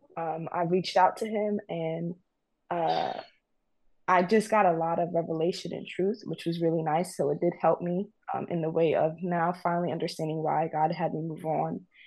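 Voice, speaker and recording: A woman's fairly low voice with an American accent, monotone and flat in intonation, at a moderate pace. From New York. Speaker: caller. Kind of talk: casual call-in conversation. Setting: video call. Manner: hesitant, apologetic.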